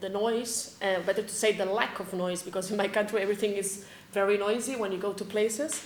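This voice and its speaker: Over noticeable background noise, a woman of medium pitch talks at a fairly quick pace in a flat monotone. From Spain. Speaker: teacher. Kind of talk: casual interview. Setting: studio.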